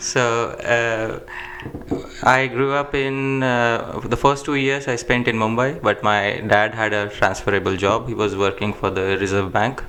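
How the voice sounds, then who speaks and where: With noticeable background noise, a man speaks fairly slowly in a fairly even intonation. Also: medium pitch for a man. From India, Jaipur. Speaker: Sanskrit scholar. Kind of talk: interview.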